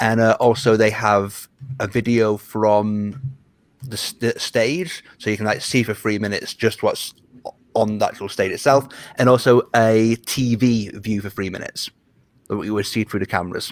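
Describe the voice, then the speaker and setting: A man with a British accent at medium pitch and fairly even intonation, with music in the background. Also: moderate pace. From Britain. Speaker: Eurovision journalist and betting analyst. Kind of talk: casual chat.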